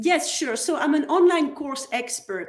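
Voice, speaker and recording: With a Belgian French accent, a woman speaks with ordinary pitch variation. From Belgium, French-speaking. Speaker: online course consultant. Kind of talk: interview podcast.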